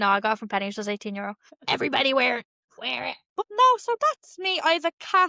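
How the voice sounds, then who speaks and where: With a Dublin accent, a woman speaks at a very fast pace in a dry, close recording with no echo. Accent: Dublin, noticeable. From Ireland, Dublin (Clondalkin). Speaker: podcast co-host. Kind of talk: casual chat. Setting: at home, apartment.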